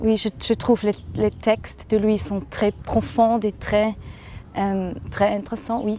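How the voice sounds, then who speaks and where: A woman's medium-pitched voice with a slight Swiss German accent, very slow and flat in intonation, over noticeable background noise. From German-speaking Switzerland, Thurgau. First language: Swiss German (speaking French). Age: young. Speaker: singer-songwriter. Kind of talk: interview. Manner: halting, hesitant.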